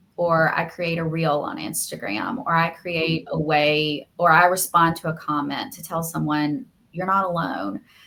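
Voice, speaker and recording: With a Southern US accent, a woman speaks at a fairly slow pace with hardly any pauses, a fairly low pitch and a bright, sharp tone. Her intonation is lively, and her loudness swings a lot. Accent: Southern American. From US South, Alabama. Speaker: media lawyer and podcaster. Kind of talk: interview. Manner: heartfelt, earnest.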